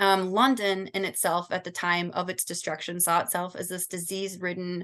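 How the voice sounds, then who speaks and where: Over a quiet background, a woman with a Michigan accent talks at a medium pitch. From Southern California. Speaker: student. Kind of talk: class presentation.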